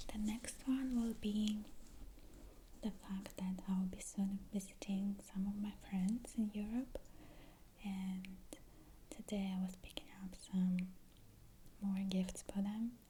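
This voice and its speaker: A woman speaks softly at a medium pitch and a very slow pace, with long, frequent pauses. Her tone is calm and gentle, and her intonation stays monotone and flat. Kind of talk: ASMR video, soft-spoken talk to camera. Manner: soft-spoken, calm, gentle.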